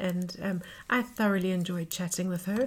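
A somewhat breathy woman's voice at medium pitch and a moderate pace. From South Africa. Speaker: podcast host. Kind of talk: podcast intro and interview. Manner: hesitant, filler-heavy.

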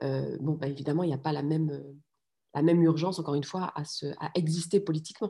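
The voice moves at a very fast pace, somewhat breathy, with a dark, mellow tone. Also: woman, very deep, low pitch for a woman. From France. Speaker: political scientist and parent activist. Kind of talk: interview conversation. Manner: halting, many hesitations and repeated words.

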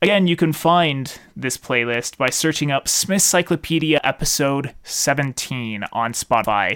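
In a dry, close sound with no echo, a man speaks at a fairly slow pace in a fairly high pitch with ordinary pitch variation. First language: not French. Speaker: podcast host and musician. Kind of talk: solo podcast monologue. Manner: casual with frequent fillers.

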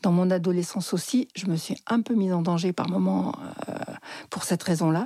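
A woman talks at a moderate pace in a fairly low pitch. Her pitch varies in an ordinary way, and her pauses are long and frequent. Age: 60s. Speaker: psychotherapist. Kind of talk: personal storytelling interview.

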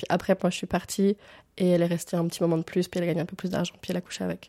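On a very clean recording with a silent background and a dry, close sound with no echo, a woman speaks at a medium pitch with a dark, mellow tone and a monotone, flat intonation. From Switzerland, rural northern Vaud. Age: 20s. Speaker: sociology student and sex worker. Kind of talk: interview testimony. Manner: casual, hesitant with many fillers.

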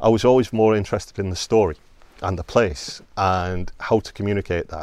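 The delivery is very fast. The recording is very clean, with a silent background. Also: man. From northwest England (St Helens, between Liverpool and Manchester). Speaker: archaeologist. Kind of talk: casual interview. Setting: outdoors at a historic site.

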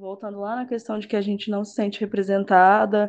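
Her medium pitch stays in a monotone, flat intonation as the woman talks at a moderate pace. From Brazil, interior of São Paulo state. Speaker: physiotherapist. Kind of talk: casual discussion.

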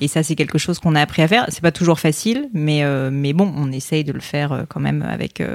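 Fairly quick in pace, a woman speaks with a very deep, low pitch. Her pitch variation is ordinary. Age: 30s. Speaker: entrepreneur and podcaster. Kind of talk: casual chat.

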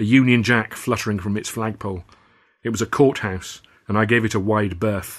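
Intonation stays fairly even. The voice is a natural reading voice.

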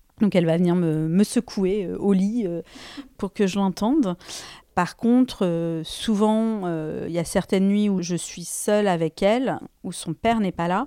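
In a dry, close sound with no echo on a very clean recording with a silent background, a woman with a dark, mellow tone speaks at a fairly slow pace with long, frequent pauses. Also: medium pitch for a woman, ordinary pitch variation. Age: 40s. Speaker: person with hearing loss sharing her story. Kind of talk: personal testimony. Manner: hesitant, with many fillers and repeated words.

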